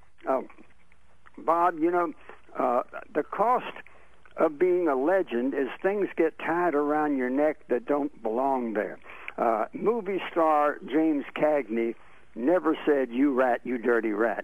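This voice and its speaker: A man talks very slowly with lively intonation, the sound dry and without echo. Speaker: radio talk show host. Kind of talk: tribute speech at a radio roast. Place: studio.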